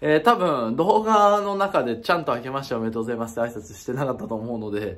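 Against a quiet background, a man of medium pitch speaks with very wide pitch swings. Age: 20s. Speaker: YouTuber. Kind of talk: casual vlog announcement. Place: home room. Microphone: phone near.

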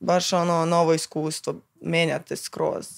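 A woman's fairly low voice at a very slow pace, over a quiet background. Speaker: guest. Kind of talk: casual chat. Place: studio. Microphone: studio mic.

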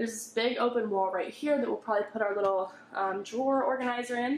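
Talking at a fairly quick pace, a woman with a high pitch is heard over light background noise, with audible echo in the room. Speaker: family vlogger. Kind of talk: casual vlog chat. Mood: upbeat, excited. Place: empty room. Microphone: phone near.

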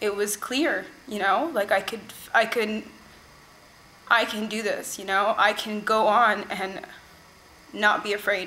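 Fairly high in pitch, a woman speaks with an American accent. Her intonation is fairly even and her pace fairly slow. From California. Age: young. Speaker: workshop participant. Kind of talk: testimony. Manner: halting, with fillers. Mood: earnest, emotional, reflective.

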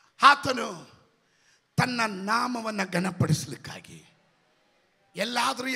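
A man speaks in a raised, projected voice with lively intonation against a quiet background. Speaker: pastor. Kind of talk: sermon. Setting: church. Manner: loud. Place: church. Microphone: handheld.

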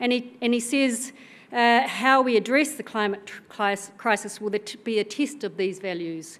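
This woman has a New Zealand accent and a fairly high pitch. Her pace is moderate. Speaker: senior civil servant; keynote speaker. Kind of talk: conference speech. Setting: stage with audience. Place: hall. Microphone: podium.

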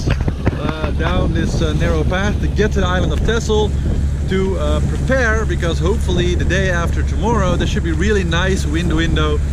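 A man keeps a moderate pace while loud background noise plays behind him. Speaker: solo sailor vlogger. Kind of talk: casual vlog chat. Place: boat. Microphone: phone near.

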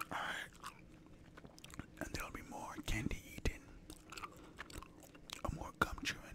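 Whispering at a moderate pace, a man leaves long, frequent pauses. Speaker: ASMR gaming creator. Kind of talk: gameplay commentary. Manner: whispered.

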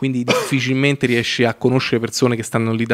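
A man talks at a very fast pace. His intonation is monotone and flat against a quiet background. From Italy. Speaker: filmmaker and web series creator; podcast guest. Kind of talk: casual chat. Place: studio. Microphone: studio mic.

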